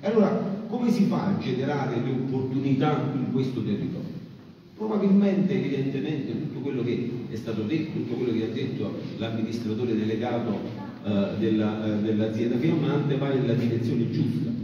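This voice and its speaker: Lively intonation marks a man speaking at a moderate pace. The room echo is strong, with light background noise. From Campania, Sele plain. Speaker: farmer and agricultural association leader. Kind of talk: conference speech. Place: hall.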